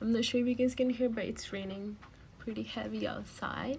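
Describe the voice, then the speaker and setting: A woman's moderate-paced speech comes with noticeable background noise. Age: 20s. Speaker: beauty vlogger. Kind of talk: makeup tutorial. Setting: at home. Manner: casual, hesitant.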